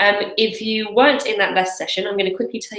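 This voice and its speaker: Very fast speech with a British accent and ordinary pitch variation. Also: woman. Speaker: webinar host, crowdfunding coach. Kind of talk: live webinar presentation. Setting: live broadcast from office. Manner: hesitant, many fillers.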